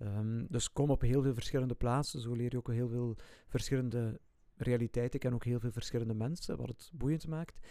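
Man with a medium pitch and dark, mellow tone, fairly quick pace and fairly even intonation, on a very clean recording with a silent background. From Flanders, Ghent area. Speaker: Salesian religious brother and former teacher. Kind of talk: casual chat.

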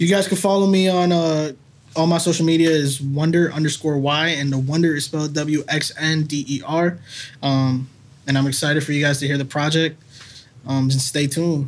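A man with a fairly high pitch keeps a moderate pace and fairly even intonation in an ordinary speaking voice. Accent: American. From Massachusetts (Salem). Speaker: local songwriter and musician. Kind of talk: casual chat. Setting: studio.

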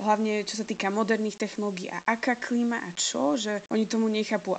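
Against a quiet background, a woman with a plain, everyday voice speaks at a moderate pace and a fairly high pitch. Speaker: university student. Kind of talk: interview answers.

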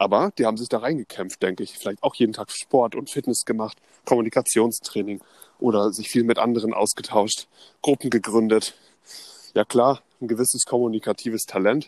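A normal speaking voice from a man at medium pitch and a fairly quick pace, with a dry, close sound and no echo. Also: fairly even intonation. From northern Germany (Neubrandenburg, Mecklenburg). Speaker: podcast co-host. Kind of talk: casual storytelling chat.

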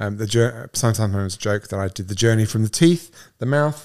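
Speaking at a very fast pace, a man with a fairly low pitch and a dark, mellow tone is heard in a very clean recording with a silent background. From England. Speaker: liver doctor and podcast host. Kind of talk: casual conversational podcast introduction.

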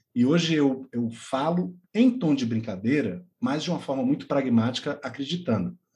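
A man speaks at a moderate pace in a fairly high, somewhat breathy voice with lively intonation. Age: 40s. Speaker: podcast co-host, teacher. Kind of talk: casual chat.

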